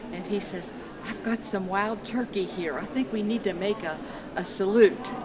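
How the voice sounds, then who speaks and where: Audible room echo and noticeable background noise around a woman's fairly high voice with ordinary pitch variation. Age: 70s. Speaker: quilter. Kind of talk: casual talk to camera.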